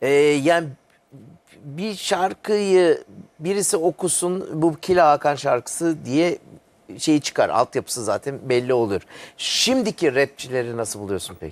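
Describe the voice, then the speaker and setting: A man has a plain, everyday voice, fairly high in pitch, with lively intonation at a fairly slow pace. The recording is very clean, with a silent background. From Germany, Düsseldorf; moved to Turkey as a teen. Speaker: TV interviewer. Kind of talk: casual interview chat.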